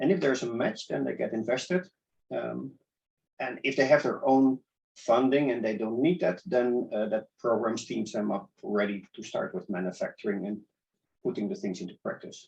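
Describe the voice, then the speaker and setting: Using lively intonation and some vocal fry, a man with a Dutch accent speaks at a medium pitch. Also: moderate pace. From Netherlands, Amsterdam. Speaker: startup accelerator organizer. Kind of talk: interview.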